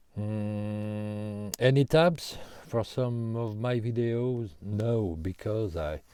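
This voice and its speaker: Very slowly, a man with a French accent talks at a fairly low pitch, his tone dark and mellow and his pitch variation ordinary. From France. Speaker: guitarist answering viewer questions. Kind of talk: casual Q&A monologue. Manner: halting, many hesitations.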